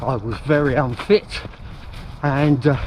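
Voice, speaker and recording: Noticeable background noise sits behind a man speaking at a very slow pace. His pitch is fairly high. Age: 70s. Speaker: running vlogger. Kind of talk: narration over photos. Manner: casual.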